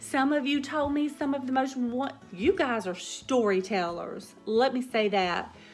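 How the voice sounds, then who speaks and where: A woman's high voice in a Southern US accent, at a fairly slow pace with hardly any pauses and lively intonation, with music in the background. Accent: Southern drawl. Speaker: cooking vlogger. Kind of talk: casual chat. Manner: hesitant, with fillers.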